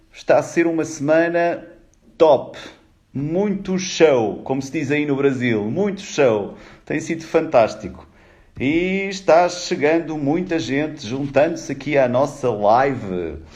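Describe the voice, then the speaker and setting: Speaking very slowly with a European Portuguese accent, a man uses a fairly high pitch and lively intonation over audible room echo. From Portugal. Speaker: HR executive, live-stream speaker. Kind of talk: live stream greeting viewers. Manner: animated.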